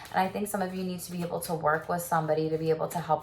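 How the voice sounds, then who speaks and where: An animated, very fast delivery over noticeable background noise. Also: woman. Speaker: tarot reader and sex therapist. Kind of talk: tarot reading. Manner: casual, animated.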